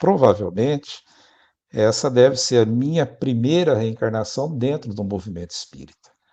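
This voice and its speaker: A man with a dark, mellow tone speaks at a fairly slow pace. The background is quiet. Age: 60s. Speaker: spiritist speaker and prison letter volunteer. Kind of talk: interview conversation. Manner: halting, with self-corrections.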